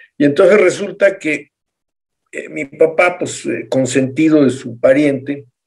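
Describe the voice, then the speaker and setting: The man's voice is fairly high and moves at a fairly slow pace. His loudness swings widely, while his pitch varies an ordinary amount. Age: 50s. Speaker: doctor, panel guest. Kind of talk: panel discussion. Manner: playful, hesitant.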